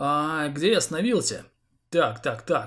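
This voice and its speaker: This man talks at a fairly high pitch, his voice making very wide pitch swings. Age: 30s. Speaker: gaming YouTuber. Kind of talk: Q&A vlog to viewers.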